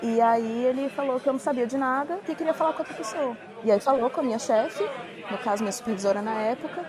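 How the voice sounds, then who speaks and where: Delivered at a very fast pace with ordinary pitch variation, the speech carries audible room echo and crowd noise behind it. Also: woman, high pitch for a woman. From Brazil. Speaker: former paralegal, immigrant. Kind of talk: casual chat.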